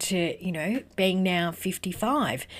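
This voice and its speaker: Speech at a moderate pace on a very clean recording with a silent background. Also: woman. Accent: Australian. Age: 50s. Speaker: podcast host and business network founder. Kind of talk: solo motivational talk.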